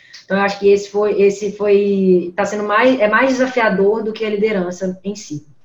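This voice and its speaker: With noticeable background noise behind her, a woman of medium pitch talks at a moderate pace with fairly even intonation. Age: 20s. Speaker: company CEO. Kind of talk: interview.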